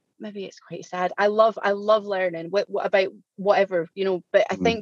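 Ordinary pitch variation comes through in a Scottish accent, with a dry, close sound and no echo. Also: woman. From Scotland. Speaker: diabetes coaching client. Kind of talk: podcast interview. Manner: fast.

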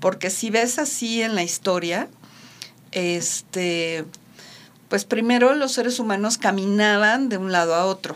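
A woman talks in a normal speaking voice at a medium pitch. Her pace is fairly slow, with ordinary pitch variation. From Mexico. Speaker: radio host. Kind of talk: casual chat.

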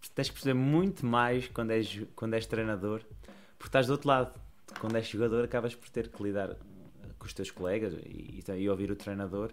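With a plain, everyday voice, a man talks at a fairly quick pace and medium pitch, his pitch varying in an ordinary way while his loudness swings widely. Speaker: basketball coach. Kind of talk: casual chat.

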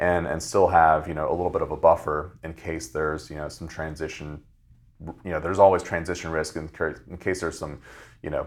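Speaking at a fairly quick pace with an American accent, a man has a very deep, low pitch and monotone, flat intonation. The recording is very clean, the background silent. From Virginia (Fredericksburg). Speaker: small business lender. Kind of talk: podcast interview. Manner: hesitant, many fillers.

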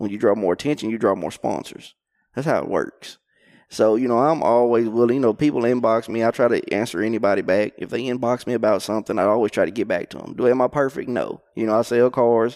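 A man with an Arkansas accent speaks very fast at a medium pitch, with ordinary pitch variation. The recording is very clean, with a silent background. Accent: Southern US (Arkansas). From Arkansas, Conway area. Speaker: professional crappie angler. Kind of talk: casual interview. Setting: outdoors at a lake tournament.

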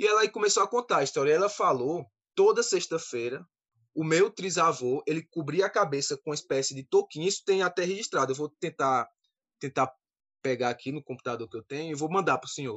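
A man talks at a fairly quick pace in an unremarkable speaking voice, fairly high in pitch, with lively intonation and big swings in loudness. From Campina Grande, Paraíba, Brazil. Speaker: synagogue community leader. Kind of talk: panel discussion.

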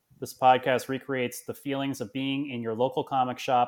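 A man's moderate-paced, medium-pitched delivery with monotone, flat intonation. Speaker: podcast host. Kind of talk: casual chat.

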